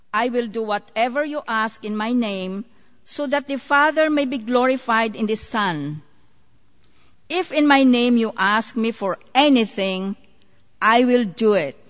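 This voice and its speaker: Speaking at a fairly slow pace with lively intonation, a woman has a fairly high pitch and an unremarkable speaking voice. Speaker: scripture reader. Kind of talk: reading aloud.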